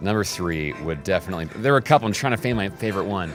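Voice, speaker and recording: A man with an American accent talking at a very fast pace over background music. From United States. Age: 30s. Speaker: radio imaging producer and voice. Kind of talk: interview answer.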